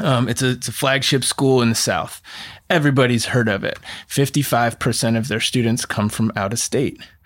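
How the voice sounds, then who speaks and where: In an American accent, a man talks at a fairly quick pace and medium pitch with fairly even intonation. It is an unremarkable speaking voice. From Oregon, US. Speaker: college counselor and former admissions counselor. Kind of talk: casual chat.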